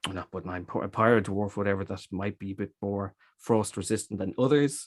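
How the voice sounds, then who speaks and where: In an Irish accent, a man speaks at a fairly low pitch, the sound dry and close with no echo in a very clean recording with a silent background. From Ireland, Dublin. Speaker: cider maker. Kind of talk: interview. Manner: halting.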